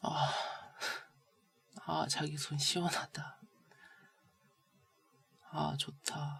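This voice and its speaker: A woman talks at a very slow pace, stopping often for long pauses. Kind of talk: girlfriend roleplay ASMR, sick and playful with partner. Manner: soft, intimate, coaxing, whispery.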